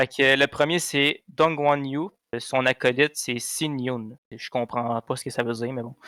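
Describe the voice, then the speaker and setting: In a dry, close sound with no echo, a man with a bright, sharp tone speaks with fairly even intonation and big swings in loudness. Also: medium pitch for a man. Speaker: car podcast co-host. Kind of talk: casual chat.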